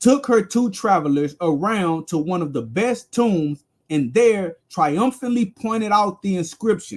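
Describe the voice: Against a quiet background, someone gives a plain reading aloud with lively intonation.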